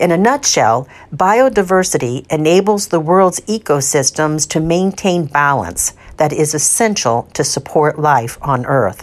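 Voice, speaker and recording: Pitched very deep and low, a woman speaks at a fairly slow pace with lively intonation. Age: 50s. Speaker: gardening columnist and podcast host. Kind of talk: scripted narration. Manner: measured, read from a script.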